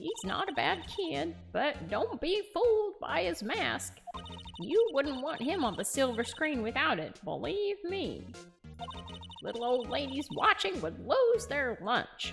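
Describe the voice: Clear music plays behind a female-sounding, high-pitched, put-on character voice speaking at a fairly slow pace.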